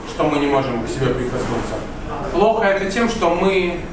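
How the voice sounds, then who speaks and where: Room echo is audible as a man talks against noticeable background noise. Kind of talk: lecture to a group. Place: cafe. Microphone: camera far.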